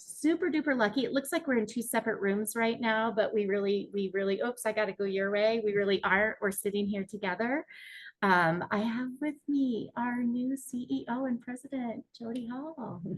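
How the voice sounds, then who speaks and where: A woman with a slight Minnesota accent talks at a moderate pace in a fairly high, somewhat breathy voice with ordinary pitch variation. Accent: Minnesota accent, long O, slight. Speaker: mortgage industry executive, webinar host. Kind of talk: live webinar chat.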